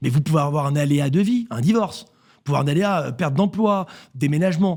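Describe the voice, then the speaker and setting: Fairly high-pitched male voice at a fairly quick pace, with lively intonation and big swings in loudness. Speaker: real estate network CEO. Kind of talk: radio interview. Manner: fast.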